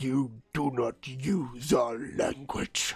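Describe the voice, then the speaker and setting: A growling, put-on character voice. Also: man, medium pitch for a man. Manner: snarling, hostile.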